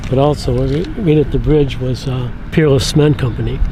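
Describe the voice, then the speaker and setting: A man with an Upper Midwest US accent talks at a moderate pace. Noticeable background noise and audible room echo fill the recording. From Michigan, Port Huron. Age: 70s. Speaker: local resident, retired draftsman. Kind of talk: casual chat.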